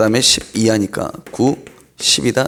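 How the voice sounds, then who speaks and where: A man at medium pitch speaks at a fairly slow pace with lively intonation and vocal fry. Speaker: math tutor. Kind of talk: lecture.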